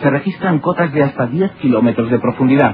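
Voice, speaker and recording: A man speaks at a fairly quick pace in a fairly high pitch with ordinary pitch variation while music plays in the background. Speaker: documentary narrator. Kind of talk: documentary narration.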